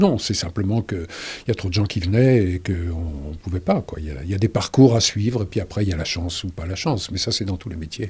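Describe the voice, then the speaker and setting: Very deep and low in pitch and somewhat breathy, a man's voice rushes along at a very fast pace. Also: ordinary pitch variation. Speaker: dubbing actor, stage actor. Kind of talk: interview answer. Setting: studio.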